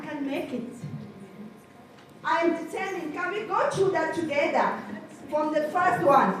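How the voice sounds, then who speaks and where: Through noticeable background noise, a woman with an extremely high pitch and ordinary pitch variation talks at a moderate pace, taking long, frequent pauses. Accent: French. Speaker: leads a group affirmation exercise.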